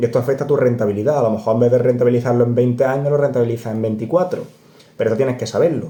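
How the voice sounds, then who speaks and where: With an Andalusian accent and a dark, mellow tone, a man speaks at medium pitch and a very fast pace amid audible room echo. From Córdoba, Andalusia, Spain. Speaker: personal finance youtuber. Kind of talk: casual explainer video. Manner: animated, conversational.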